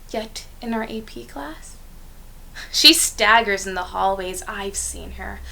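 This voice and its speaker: A woman's raised, projected voice. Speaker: poet. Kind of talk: spoken word poetry performance.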